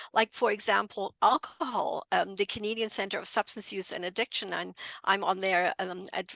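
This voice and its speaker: A woman with a German accent talks at a moderate pace, her bright, sharp tone carrying vocal fry and fairly even intonation. The sound is dry and close, with no echo. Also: quiet background. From Germany, near Frankfurt. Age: 60s. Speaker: bereaved mother and drug policy advocate. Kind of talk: podcast interview.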